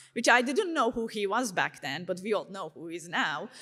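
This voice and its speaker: A high-pitched woman with a Turkish accent at a moderate pace. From Turkey. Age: 30s. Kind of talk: testimony talk. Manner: casual, conversational with many fillers.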